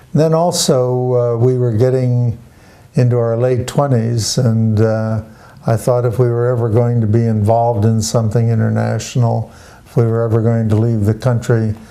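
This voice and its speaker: Amid audible room echo, a man's medium-pitched voice holds very even loudness and fairly even intonation. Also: moderate pace. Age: 80s+. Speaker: retired doctor. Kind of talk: interview.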